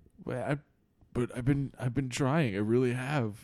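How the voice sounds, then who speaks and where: A man's whiny, put-on character voice at a medium pitch. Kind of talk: improvised comic storytelling. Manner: defensive, whiny, self-pitying.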